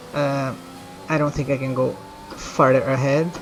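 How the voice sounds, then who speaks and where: Music plays in the background as a man speaks. His voice is fairly high and his pace fairly slow. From Brazil. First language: Portuguese. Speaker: video game streamer. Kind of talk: live gameplay commentary, casual chat.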